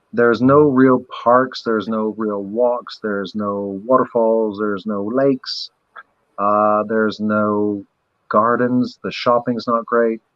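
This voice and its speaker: A man speaks at a medium pitch and a very slow pace. His intonation is monotone and flat. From Barbados, moved around many countries. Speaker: maker, former diver. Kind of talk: casual chat. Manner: halting, many fillers.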